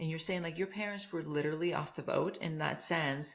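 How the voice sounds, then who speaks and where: A woman's somewhat breathy voice. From Honduras. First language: Spanish. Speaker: podcast host. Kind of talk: interview.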